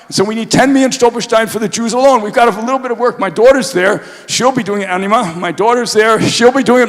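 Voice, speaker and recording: Ordinary pitch variation in an American accent, over noticeable background noise. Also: man. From US Northeast (New York). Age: 70s. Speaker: Holocaust memorial activist, speaker. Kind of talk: public talk. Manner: animated.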